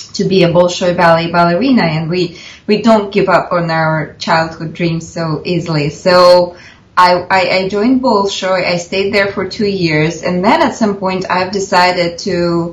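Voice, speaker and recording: A woman with a Russian accent speaks at a moderate pace in a fairly low pitch with fairly even intonation. Audible room echo and noticeable background noise surround her voice. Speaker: film director and actress. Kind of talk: interview. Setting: video call.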